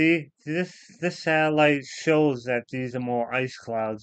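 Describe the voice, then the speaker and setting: A man talks at a fairly slow pace in an ordinary speaking voice. His pitch varies by an ordinary amount. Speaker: weather streamer. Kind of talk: casual weather explanation livestream. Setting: live stream.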